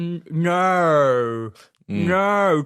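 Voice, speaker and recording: A put-on character voice at a middle pitch, in an Australian accent. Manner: slow, drawn out, exaggerated.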